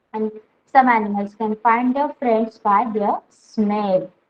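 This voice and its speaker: A woman's fairly high-pitched, normal speaking voice at a fairly slow pace. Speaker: online school teacher. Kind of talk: online class lesson. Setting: online class.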